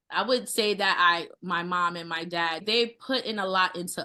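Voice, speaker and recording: A woman talks at a moderate pace in a New York accent. Her tone is bright and sharp. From US, Brooklyn, New York. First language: Haitian Creole. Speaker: chef. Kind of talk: interview.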